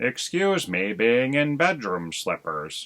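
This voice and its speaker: A man puts on a character voice at medium pitch. He speaks at a fairly slow pace, and his pitch swings very widely. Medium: read story. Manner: laconic, unhurried.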